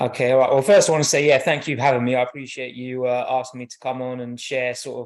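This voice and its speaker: A man with a British accent talks very fast in a monotone, flat intonation, with hardly any pauses. His loudness swings widely, and the background is quiet. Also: medium pitch for a man. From southern England, Milton Keynes. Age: 30s. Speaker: track coach. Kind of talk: podcast interview.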